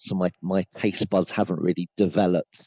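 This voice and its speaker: A man with a southern English accent speaks at a very deep, low pitch with fairly even intonation. His tone is dark and mellow, and the sound is dry and close with no echo. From Hertfordshire, England. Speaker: sales trainer. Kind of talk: podcast interview.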